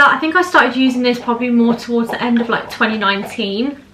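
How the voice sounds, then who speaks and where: With a British accent, a woman speaks at a very fast pace and a high pitch. Her pitch variation is ordinary, over noticeable background noise. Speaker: beauty vlogger / makeup artist. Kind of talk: makeup tutorial chat. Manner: animated.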